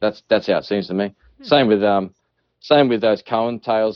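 Talking at a very fast pace, a man with an Australian accent has a medium pitch. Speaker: fly tying business owner and podcast host. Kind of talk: casual chat, joking, profane. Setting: phone call.

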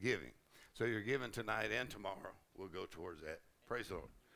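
Man with a Southern US accent, medium pitch, a bright, sharp tone, vocal fry and an animated tone. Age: 70s. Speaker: pastor. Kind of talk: sermon. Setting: church.

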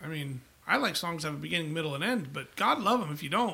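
A man's high, bright, sharp voice at a fairly quick pace, with very wide pitch swings. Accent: New York. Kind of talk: casual chat.

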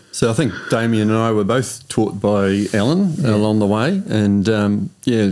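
Intonation stays fairly even in an ordinary speaking voice. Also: man. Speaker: podcast co-host. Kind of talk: casual interview chat.

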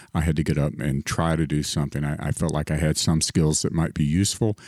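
A man in an American accent with a very deep, low pitch, fairly even intonation and a fairly quick pace, in a dry, close sound with no echo. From Chicago. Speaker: music producer and guitarist. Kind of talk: casual interview.

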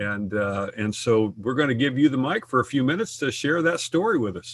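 A man talks at a medium pitch and a moderate pace. He has an unremarkable speaking voice with lively intonation. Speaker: men's ministry director and pastor. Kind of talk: podcast interview. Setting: remote call.

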